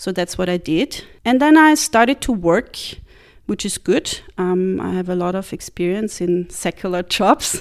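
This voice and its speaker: Recorded very cleanly with a silent background, a woman with a German accent speaks at a fairly slow pace and medium pitch, her intonation lively. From Central European German-speaking country. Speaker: missionary. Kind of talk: interview testimony.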